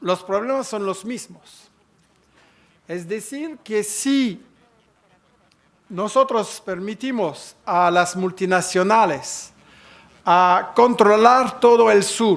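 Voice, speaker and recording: A man with a non-native accent speaks at a very slow pace in a high pitch for a man, with ordinary pitch variation and long, frequent pauses. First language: French (speaking Spanish). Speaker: conference speaker. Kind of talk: conference talk. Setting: conference hall with audience. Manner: halting.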